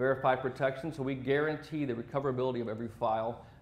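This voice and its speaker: A man talks at a very fast pace and medium pitch with fairly even intonation, and the room echo is audible. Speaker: sales territory manager presenting at a tech event. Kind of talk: conference presentation.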